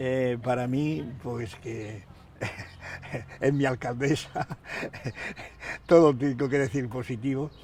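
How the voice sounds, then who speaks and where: Speech comes at a very slow pace with ordinary pitch variation and long, frequent pauses over noticeable background noise. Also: man, medium pitch for a man. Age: 90s. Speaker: local political figure and writer. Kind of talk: interview. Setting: outdoors. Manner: halting.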